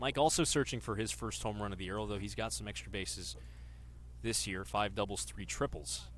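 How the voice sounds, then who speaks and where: This man has a fairly low pitch and vocal fry. He talks at a fairly quick pace with very wide pitch swings. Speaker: sports broadcaster. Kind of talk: baseball radio play-by-play.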